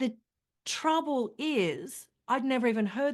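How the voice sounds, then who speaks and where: A woman speaks in a high pitch with an Australian accent. Her pace is moderate, and the background is quiet. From Australia, country Queensland. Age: 50s. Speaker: journalist and women's health advocate. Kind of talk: interview.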